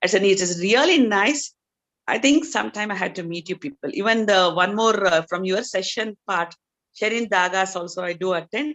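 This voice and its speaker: A woman with an unremarkable speaking voice talks at medium pitch and a moderate pace, with lively intonation. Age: 60s. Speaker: doctor. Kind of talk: audience testimony.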